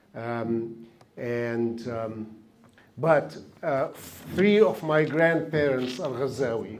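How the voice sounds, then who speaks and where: A man speaks at a very slow pace with long, frequent pauses, his pitch medium with ordinary variation. Noticeable background noise and audible room echo surround him. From Palestine, Jerusalem. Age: 70s. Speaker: panel speaker. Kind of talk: talk. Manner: halting.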